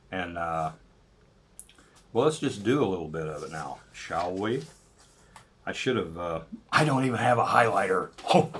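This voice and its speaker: Using very wide pitch swings, big swings in loudness and long, frequent pauses, a fairly low-pitched man speaks at a moderate pace. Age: 60s. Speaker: political commentary video blogger. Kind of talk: casual monologue. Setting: at home cooking while recording. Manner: rambling, with many fillers and false starts.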